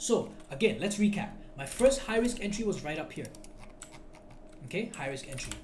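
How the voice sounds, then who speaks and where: A man's voice with very wide pitch swings, plus audible room echo and music in the background. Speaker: trading educator. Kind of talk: screen-share trading tutorial. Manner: loud; animated.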